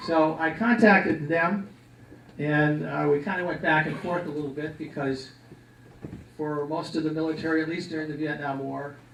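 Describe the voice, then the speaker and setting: A man with an American accent speaks at a fairly high pitch with fairly even intonation, with audible room echo and noticeable background noise. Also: moderate pace. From Milwaukee, Wisconsin. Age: 60s. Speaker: Vietnam war veteran. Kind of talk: personal testimony talk. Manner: casual, conversational.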